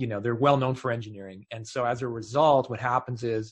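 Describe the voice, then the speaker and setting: Somewhat breathy, at a very fast pace, with a Canadian accent. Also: man. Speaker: tech consultant, former engineering director. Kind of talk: interview conversation.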